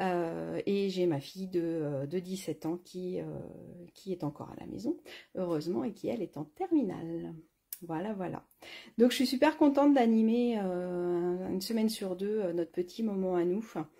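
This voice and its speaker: A dark, mellow tone carries lively intonation at a moderate pace. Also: woman, medium pitch for a woman. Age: 40s. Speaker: craft product demonstrator. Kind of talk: live craft tutorial stream. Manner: hesitant, many fillers.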